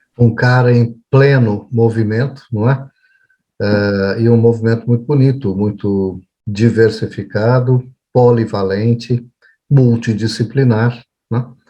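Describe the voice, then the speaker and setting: Music plays in the background as a man speaks at a very slow pace. His medium-pitched voice stays monotone and flat. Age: 60s. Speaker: psychologist, show host. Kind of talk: casual chat. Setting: video call.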